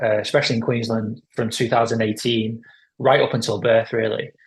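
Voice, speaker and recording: Somewhat breathy male voice with a British accent, medium pitch and a fairly quick pace. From UK. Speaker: pro-life organisation head. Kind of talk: interview. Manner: hesitant, many fillers.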